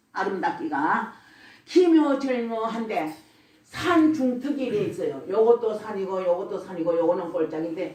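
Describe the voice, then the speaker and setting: A woman with a Gyeongsang accent talks at a moderate pace and medium pitch, her pitch swinging very widely. Audible echo fills the room. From Gyeongsang region, South Korea. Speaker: church deaconess giving testimony. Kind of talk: religious testimony. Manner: blunt, rough-spoken.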